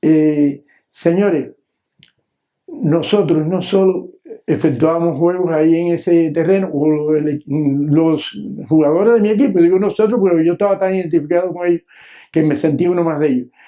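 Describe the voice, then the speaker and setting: A high-pitched male voice at a moderate pace, with ordinary pitch variation. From Cuba, Matanzas province (San José de los Ramos). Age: 70s. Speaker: retired teacher. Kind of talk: memoir storytelling. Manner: hesitant, many filler sounds.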